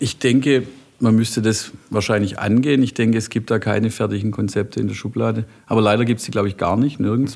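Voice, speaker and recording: Very fast and marked by vocal fry, a man's medium-pitched speech keeps a fairly even intonation. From Heilbronn area, Baden-Württemberg (Talheim). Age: 40s. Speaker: software company CEO. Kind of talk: casual interview chat. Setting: office.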